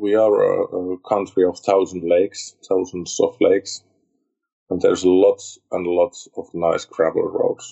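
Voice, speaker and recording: Speaking at a fairly slow pace, a man comes through in a Finnish accent. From Finland. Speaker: motorcycle club president. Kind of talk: interview. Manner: halting, with many repeated words.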